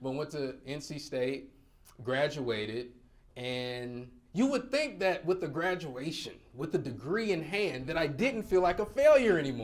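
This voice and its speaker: Animated and lively in intonation, a man with a fairly high pitch speaks at a fairly slow pace with audible room echo. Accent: slight Southern US. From North Carolina. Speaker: motivational speaker. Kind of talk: keynote speech. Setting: stage with audience.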